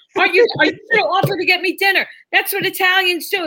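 Speaking at a fairly quick pace with an American accent, a woman uses an extremely high pitch. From New York City. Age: 30s. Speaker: stand-up comedian. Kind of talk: casual chat. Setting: video call.

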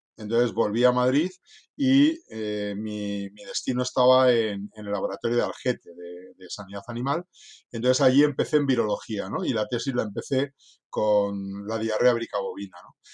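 Against a quiet background, a man talks at a moderate pace and medium pitch with ordinary pitch variation. He has an unremarkable speaking voice. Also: big swings in loudness. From northern Spain (Cantabria coast). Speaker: veterinarian. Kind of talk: interview. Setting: after lunch conversation.

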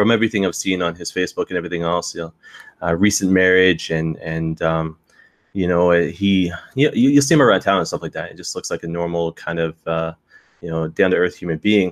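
With a very deep, low pitch and ordinary pitch variation, a man talks at a fairly quick pace in a dry, close sound with no echo. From Canadian Maritimes. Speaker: wrestling podcaster. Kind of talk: casual chat. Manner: halting, many fillers.

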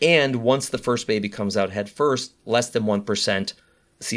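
An ordinary speaking voice from a man with an American accent, medium pitch, ordinary pitch variation and moderate pace, on a very clean recording with a silent background. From US Midwest, Chicago. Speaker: high-risk pregnancy doctor. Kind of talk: interview.

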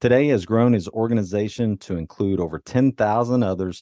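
Recorded dry and close with no echo against a quiet background, a man speaks fairly quickly in a dark, mellow tone. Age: 50s. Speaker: podcast host and life coach. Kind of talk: interview; reading a guest bio.

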